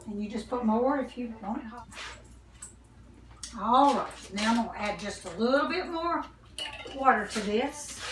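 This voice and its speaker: Over noticeable background noise, a woman with a Southern US accent speaks at a moderate pace, leaving long, frequent pauses. Her pitch is fairly high with ordinary pitch variation, and her loudness swings widely. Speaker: home cooking video host. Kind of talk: cooking tutorial. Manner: soft-spoken; casual, chatty. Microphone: too quiet, told to talk louder.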